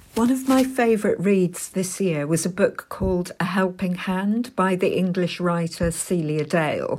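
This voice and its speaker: A woman with an ordinary speaking voice, medium pitch and ordinary pitch variation, at a moderate pace with hardly any pauses and very even loudness. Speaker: book reviewer. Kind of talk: prepared book recommendation.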